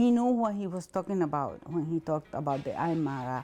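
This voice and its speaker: Over music in the background, a woman with a Spanish accent speaks with very wide pitch swings. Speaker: interviewee in documentary, former hospital worker and translator. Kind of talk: interview testimony.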